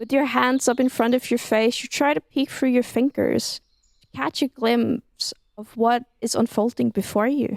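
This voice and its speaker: A woman with a high pitch is heard in a dry, close recording with no echo. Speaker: ASMR storyteller, writer and reader of her own story. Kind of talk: ASMR immersive story reading. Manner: soft, intimate, calm narration.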